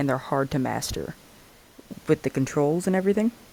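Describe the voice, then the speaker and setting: With ordinary pitch variation and a fairly high pitch, a man's voice comes through dry and close with no echo. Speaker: gaming youtuber. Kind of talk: video essay commentary. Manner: fast; hesitant, filler-heavy.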